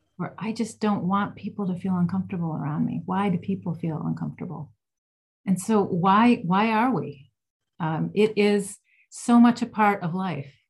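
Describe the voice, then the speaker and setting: With music in the background, a woman speaks with an American accent at a medium pitch. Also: ordinary pitch variation, moderate pace. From Ohio, US Midwest. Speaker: music therapist and author. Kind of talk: interview.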